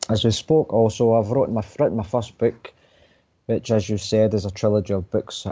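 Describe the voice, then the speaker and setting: With a Glaswegian accent, a man talks at a moderate pace in a fairly low pitch, his tone dark and mellow and his intonation fairly even. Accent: Glaswegian Scottish. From Scotland, Coatbridge near Glasgow. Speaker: author. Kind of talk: radio interview.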